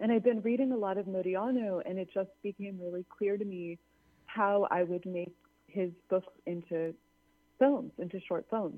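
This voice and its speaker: A woman speaks in a plain, everyday voice. Her pitch is medium, with an American accent. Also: ordinary pitch variation, moderate pace. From Los Angeles. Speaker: filmmaker. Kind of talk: interview. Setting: phone call.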